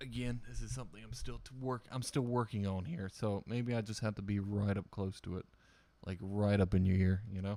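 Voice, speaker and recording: A man's fairly low, dark and mellow voice with ordinary pitch variation, moving at a fairly quick pace. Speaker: barber and streamer. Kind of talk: casual livestream chat. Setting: livestream. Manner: loud.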